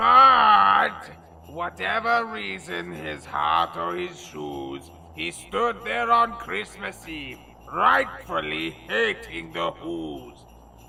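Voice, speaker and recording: A man does a put-on character voice, speaking at a very slow pace. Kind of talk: comic overacting. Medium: solo performance. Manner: grandiose, bombastic, easily irritated.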